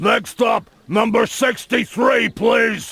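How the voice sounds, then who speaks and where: In a put-on character voice, the speaker shouts at a very slow pace. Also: man. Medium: video game.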